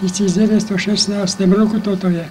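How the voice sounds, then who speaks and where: A man with a high-pitched voice speaks at a moderate pace in a flat monotone. Noticeable background noise runs under him. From Slovakia. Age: 80s+. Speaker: beekeeper. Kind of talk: casual reminiscing talk.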